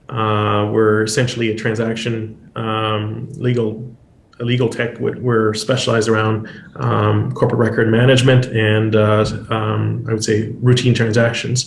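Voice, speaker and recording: A man talks at a moderate pace in a monotone, flat intonation, with audible room echo around him. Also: medium pitch for a man. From Quebec. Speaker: lawyer and legal tech founder. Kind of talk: panel discussion. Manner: halting, many fillers.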